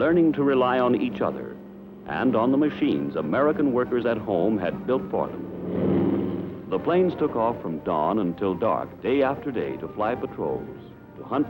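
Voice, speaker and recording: A man at medium pitch and moderate pace, with very wide pitch swings, over music in the background. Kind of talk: wartime newsreel narration.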